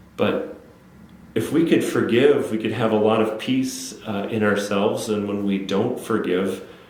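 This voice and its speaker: A man with an Upper Midwest accent speaks at a fairly slow pace in a fairly low pitch, with ordinary pitch variation, noticeable background noise and audible room echo. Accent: Upper Midwest American. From Wisconsin, Menominee area. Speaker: city council member. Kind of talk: interview. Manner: halting, many fillers and repeats.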